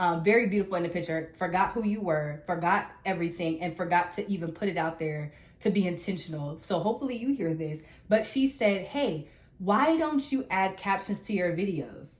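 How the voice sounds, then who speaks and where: A somewhat breathy woman speaks at a fairly quick pace with lively intonation. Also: medium pitch for a woman. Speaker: podcast co-host. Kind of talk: casual chat. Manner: fast.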